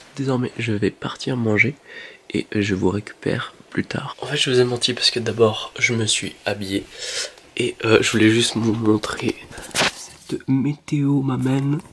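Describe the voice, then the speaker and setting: Over noticeable background noise, a man talks at a fairly slow pace. His pitch is medium and his intonation fairly even. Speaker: vlogger. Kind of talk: vlog. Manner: whispering.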